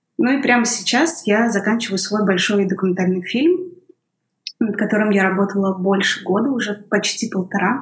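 At a moderate pace, a woman uses an ordinary speaking voice of medium pitch with ordinary pitch variation. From northwestern Russia, Kirovsk near St Petersburg. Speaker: documentary film director. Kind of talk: interview conversation.

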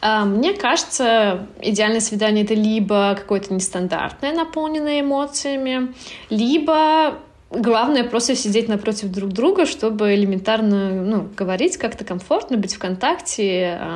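A woman with an unremarkable speaking voice talks at a fairly slow pace. Her pitch is fairly high and her intonation lively. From Turkmenistan. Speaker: blogger. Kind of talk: casual chat.

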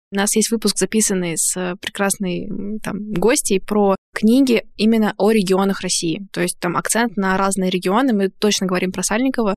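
In a normal speaking voice, a woman talks at a moderate pace with medium pitch and fairly even intonation, the sound dry and close with no echo. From Bashkortostan, Russia. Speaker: podcast host and practising therapist. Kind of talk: casual chat.

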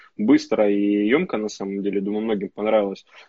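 This is a man's voice. His pitch sits fairly low. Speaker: entrepreneur, pizza and sushi chain owner. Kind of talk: casual live-stream chat. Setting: Instagram live stream, online.

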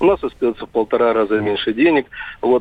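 A man talks against noticeable background noise. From Mari El, Russia. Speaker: radio caller. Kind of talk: phone-in caller. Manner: hesitant, many fillers.

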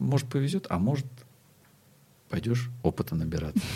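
A man's medium-pitched voice, dark and mellow, with vocal fry, very wide pitch swings and a moderate pace, on a very clean recording with a silent background. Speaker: body-oriented psychotherapist. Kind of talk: interview conversation.

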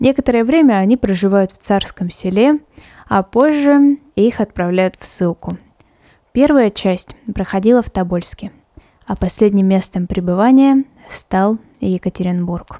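A woman speaks at a fairly slow pace in a dark, mellow, solemn tone, her medium pitch rising and falling with lively intonation, with long, frequent pauses in a dry, close sound with no echo. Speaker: podcast host. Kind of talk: history documentary narration, scripted and read steadily. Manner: measured, solemn, even-paced.

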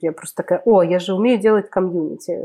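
Speaking at a moderate pace, a woman has a dark, mellow tone, medium pitch and fairly even intonation. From Russia, Kemerovo region (Siberia). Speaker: community producer. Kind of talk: casual chat.

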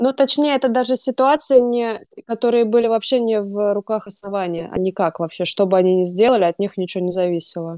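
A woman talks at a fairly quick pace in a dark, mellow tone of medium pitch, her pitch varying in an ordinary way. The sound is dry and close, with no echo. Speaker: book club moderator. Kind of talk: casual chat.

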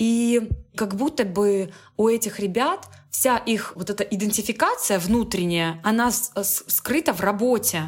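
A woman talks at a very slow pace. Her voice is fairly high and somewhat breathy. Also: ordinary pitch variation. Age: 20s. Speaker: business development expert. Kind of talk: casual chat.

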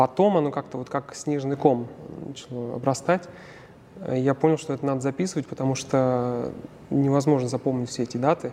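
The speech moves at a moderate pace with fairly even intonation. Long pauses come often. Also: man, medium pitch for a man. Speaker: opera tenor. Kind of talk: interview. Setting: theatre foyer.

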